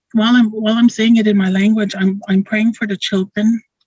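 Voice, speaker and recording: A woman speaks in a monotone, flat intonation, somewhat breathy. The sound is dry and close with no echo. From Dakota First Nation community, Manitoba, Canada. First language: Dakota. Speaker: school board member. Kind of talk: opening blessing speech. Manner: halting.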